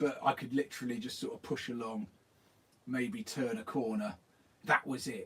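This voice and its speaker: Here a man talks at a moderate pace with a southern English accent. His pitch swings very widely. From southern England. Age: 40s. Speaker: skateboarding youtuber. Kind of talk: live stream chat. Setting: garden shed. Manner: animated.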